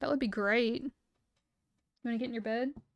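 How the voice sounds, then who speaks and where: An animated, high-pitched woman at a fairly quick pace, in a dry, close sound with no echo. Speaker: vtuber streamer. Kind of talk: casual live stream chat. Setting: live stream at home with pet.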